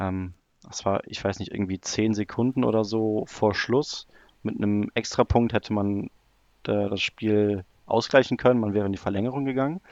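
Over a quiet background, a man with an ordinary speaking voice and fairly low pitch speaks at a moderate pace with fairly even intonation, the sound dry and close with no echo. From Germany, near Cologne. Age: 20s. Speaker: football analytics blogger. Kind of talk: podcast interview, casual chat. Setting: remote call.

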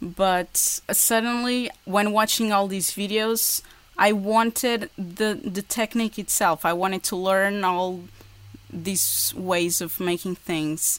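A woman speaks very slowly in a Portuguese accent. Her intonation stays fairly even. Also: medium pitch for a woman. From Portugal. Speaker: woodworking YouTuber. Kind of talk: casual interview. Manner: halting.

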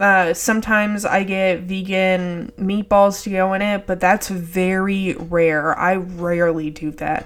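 Against noticeable background noise, a woman with an American accent speaks at medium pitch and a fairly slow pace, in a monotone, flat intonation with hardly any pauses. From Texas. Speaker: podcast host. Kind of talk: casual monologue. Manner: laid back.

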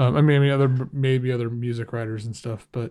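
Words come at a very fast pace from a man. The recording is very clean, with a silent background. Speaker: music critic and podcast host. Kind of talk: solo monologue podcast. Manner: casual, rambling with many fillers.

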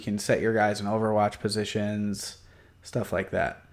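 The recording is very clean, with a silent background. A man with a normal speaking voice and medium pitch talks at a fairly slow pace. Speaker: community member guest. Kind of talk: casual chat about games.

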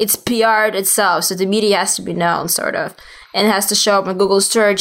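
With a Russian accent, a woman talks at a fairly quick pace and a medium pitch with fairly even intonation, in a very clean recording over a silent background. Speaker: PR agency founder. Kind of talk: interview. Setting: in person in Miami.

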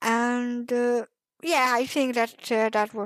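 At a very slow pace, a woman speaks in a fairly high voice in a very clean recording with a silent background. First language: not English. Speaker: fanfiction writer. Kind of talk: casual interview chat.

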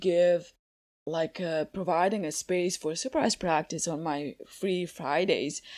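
A woman's fairly low voice in a Croatian accent, very slow in pace with ordinary pitch variation, in a very clean recording over a silent background. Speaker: coaching method instructor and coach. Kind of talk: interview podcast. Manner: halting, frequent repetitions.

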